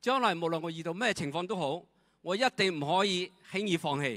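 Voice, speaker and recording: A bright, sharp voice with a non-native accent talks at a fairly quick pace. The intonation is lively, and the background is quiet. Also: man. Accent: non-native Cantonese. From Myanmar. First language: not Cantonese (speaking Chinese). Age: 70s. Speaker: retired direct-sales leader. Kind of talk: testimony. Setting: stage with audience. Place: stage. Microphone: handheld.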